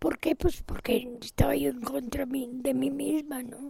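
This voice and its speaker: A woman speaks at a very slow pace with a high pitch and lively intonation. Noticeable background noise runs underneath. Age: 70s. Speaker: painter and sculptor. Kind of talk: interview.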